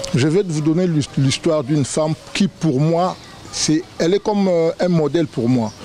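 A man speaks at a fairly slow pace and fairly high pitch, his loudness very even. The sound is dry with no echo, with light background noise. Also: ordinary pitch variation. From Kinshasa, DR Congo. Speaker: relative of the founder; guest. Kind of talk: tribute speech. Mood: admiring, emotional tribute. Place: garden. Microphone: handheld.

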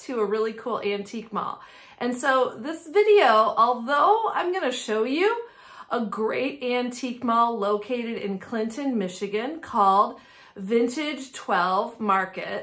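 This woman's voice is high-pitched and moves at a fairly slow pace. Her pitch varies in an ordinary way. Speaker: antique booth owner vlogger. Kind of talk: casual vlog chat. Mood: cheerful, friendly. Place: home room.

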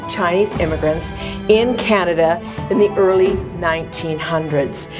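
With clear music in the background, a woman speaks at a moderate pace using ordinary pitch variation. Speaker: tour guide host. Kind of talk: promotional tour presentation. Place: tunnel cave. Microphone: lapel.

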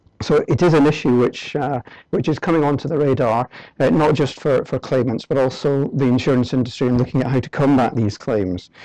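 A man's dark, mellow voice at a fairly quick pace, with ordinary pitch variation, a dry sound with no echo and a quiet background. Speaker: presenter. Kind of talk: lecture. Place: hall.

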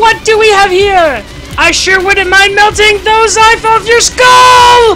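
In a put-on character voice pitched extremely high, the speaker goes at a fairly slow pace. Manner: menacing.

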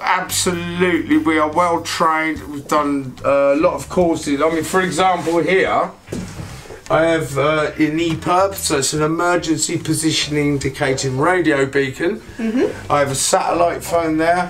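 Speech comes at a moderate pace with fairly even intonation while faint music plays in the background. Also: man. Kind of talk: interview answer. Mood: jokey, relaxed. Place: boat. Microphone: camera far.

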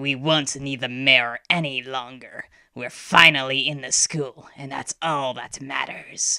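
A put-on character voice growls at a low-to-middle pitch with a menacing tone. The pace is fairly slow. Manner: snarling, menacing, commanding.

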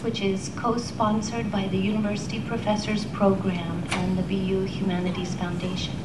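A woman speaks at a medium pitch and moderate pace with hardly any pauses. Her loudness stays very even and her intonation fairly even, over noticeable background noise. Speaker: professor, poetry series host. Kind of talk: event introduction.

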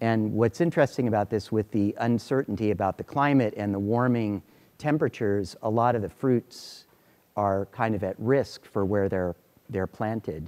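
With a dark, mellow tone and a fairly low pitch, a man talks at a moderate pace with ordinary pitch variation. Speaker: lecturer. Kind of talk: lecture. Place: classroom. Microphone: lapel.

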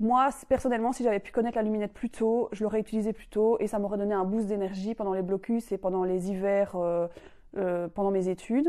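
With a Belgian accent and a dark, mellow tone, a woman talks at a fairly quick pace with ordinary pitch variation against a quiet background. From Belgium, Mons region; Belgium. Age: 30s. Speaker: civil engineer, product user. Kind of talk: testimonial. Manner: hesitant, many fillers. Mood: calm, friendly. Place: home room. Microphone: lapel.

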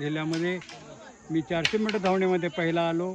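A man with a high-pitched voice and fairly even intonation comes through dry with no echo, with noticeable background noise. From Kolhapur district, Maharashtra; Maharashtra. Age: 70s. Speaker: retired sports teacher and masters athlete; retired sports teacher. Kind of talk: interview. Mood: proud, confident. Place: open country.

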